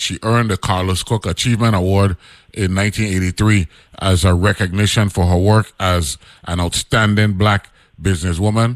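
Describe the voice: A man speaks at a moderate pace with fairly even intonation. His pitch sits low.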